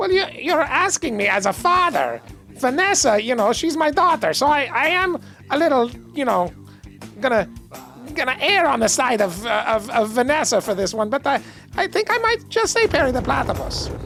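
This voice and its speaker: Over clear music in the background, a man performs a put-on character voice at a moderate pace. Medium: game stream. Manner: rambling, self-pitying.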